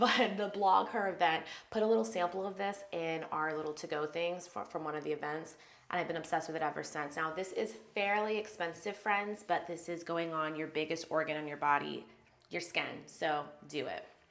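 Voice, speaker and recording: A woman talks at a fairly quick pace, with audible room echo around her. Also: fairly low pitch for a woman, ordinary pitch variation. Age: 30s. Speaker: beauty vlogger. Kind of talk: get ready with me tutorial. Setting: home bathroom. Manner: fast; casual chatty.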